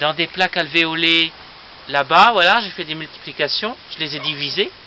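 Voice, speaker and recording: Fairly slow speech from a man over noticeable background noise. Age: 20s. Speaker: aspiring plant nurseryman. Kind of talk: casual video presentation, guided tour. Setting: outdoors on a terrace. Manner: hesitant, many fillers.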